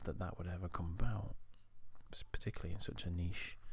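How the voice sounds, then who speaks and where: Soft-spoken and somewhat breathy, a man talks in a relaxed tone with ordinary pitch variation. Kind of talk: ASMR soft-spoken ramble to camera. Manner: soft-spoken, relaxed, rambling.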